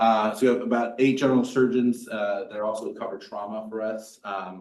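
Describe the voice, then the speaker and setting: Audible room echo surrounds a man talking at a moderate pace with a fairly low pitch. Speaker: trauma surgeon. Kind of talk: lecture. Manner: loud.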